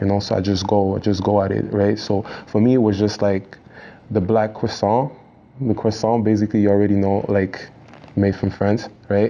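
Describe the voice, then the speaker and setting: A man with a Quebec accent speaks at a moderate pace in a fairly low pitch, with monotone, flat intonation and very even loudness, over noticeable background noise. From Quebec, Montreal. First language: French. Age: young. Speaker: rapper. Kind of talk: casual interview. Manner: halting, many repetitions and fillers.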